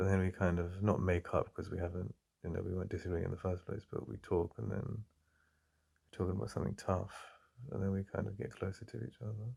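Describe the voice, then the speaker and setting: Very fast and with vocal fry, this voice carries a dark, mellow tone and an English accent in a very clean recording with a silent background. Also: man, very deep, low pitch for a man, ordinary pitch variation. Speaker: ASMR roleplay performer. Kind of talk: ASMR boyfriend roleplay. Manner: soft-spoken, intimate.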